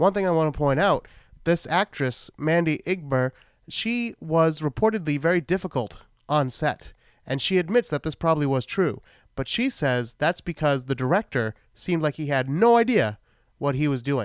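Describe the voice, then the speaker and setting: In a Boston accent, a man with a fairly high pitch speaks at a moderate pace with lively intonation, recorded very cleanly against a silent background with a dry, close sound and no echo. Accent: Boston accent, shows on some words. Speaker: podcast host, film reviewer. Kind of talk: solo podcast film recap, casual. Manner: casual, rambling with fillers.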